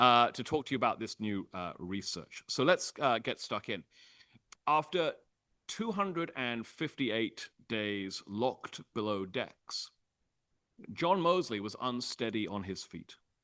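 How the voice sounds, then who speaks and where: Over a quiet background, a man with a British accent speaks at a fairly slow pace in a bright, sharp tone. His medium pitch swings very widely, and the sound is dry and close with no echo. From Britain. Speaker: history professor. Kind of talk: public lecture. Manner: frequent filler 'uh'.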